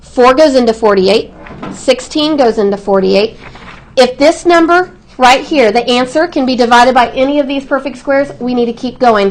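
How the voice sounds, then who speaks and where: Loud and high-pitched, a woman talks at a moderate pace with ordinary pitch variation over noticeable background noise. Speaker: math teacher. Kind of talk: classroom lesson. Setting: classroom. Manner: projecting voice.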